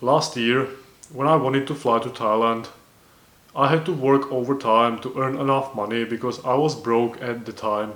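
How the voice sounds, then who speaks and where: Speaking with a non-native accent, a man keeps a moderate pace, medium pitch and fairly even intonation. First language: not English. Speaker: self-improvement vlogger. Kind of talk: casual monologue. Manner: halting, with self-corrections.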